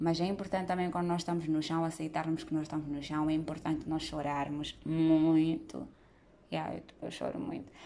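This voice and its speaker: This woman has a very deep, low pitch and a dark, mellow tone. She talks at a moderate pace with monotone, flat intonation. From Mozambique. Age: 20s. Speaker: podcast host. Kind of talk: solo monologue podcast.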